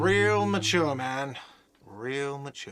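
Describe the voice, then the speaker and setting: A whiny, put-on character voice from a man, medium in pitch, with ordinary pitch variation and audible echo. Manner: whiny, sarcastic complaint.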